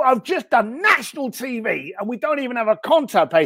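A man's extremely high voice with a British accent. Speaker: author and business speaker. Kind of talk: casual chat. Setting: live stream video call. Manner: blunt, profane.

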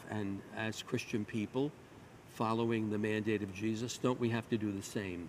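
At a fairly slow pace, a man with medium pitch speaks in an ordinary speaking voice. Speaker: priest. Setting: church. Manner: solemn, reverent, fervent.

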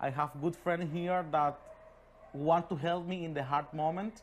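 Someone speaks with a Spanish accent in a very clean recording with a silent background. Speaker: immigrant bar worker and interpreter. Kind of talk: interview. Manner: halting.

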